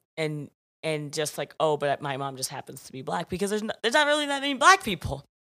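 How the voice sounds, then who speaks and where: A woman with an American accent, very fast and animated, with big swings in loudness. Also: very clean recording, silent background. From US South, Georgia (Alpharetta). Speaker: podcast guest. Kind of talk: casual chat.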